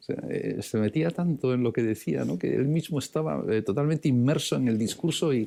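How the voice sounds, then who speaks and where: With a dark, mellow tone, a man talks at a fairly quick pace using lively intonation. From Basque Country, San Sebastián. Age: 60s. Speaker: priest and theology professor. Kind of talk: lecture. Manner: halting, many fillers and repetitions; reading aloud.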